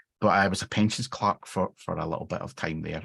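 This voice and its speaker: Against a quiet background, a man with a very deep, low pitch and ordinary pitch variation speaks at a fairly quick pace. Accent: Glaswegian. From Scotland, near Glasgow. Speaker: software engineering manager. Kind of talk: interview. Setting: live stream.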